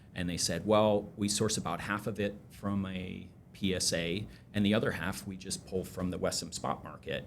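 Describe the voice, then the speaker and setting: A man with a fairly low pitch speaks at a moderate pace with fairly even intonation. Audible room echo surrounds his voice. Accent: American. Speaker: energy trading company CEO. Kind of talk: podcast interview. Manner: hesitant, many fillers.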